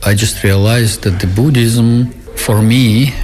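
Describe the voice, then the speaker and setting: Speaking at a fairly slow pace with ordinary pitch variation, a man with a Russian accent is heard over noticeable background noise and audible room echo. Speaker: Buddhist teacher. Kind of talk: radio interview.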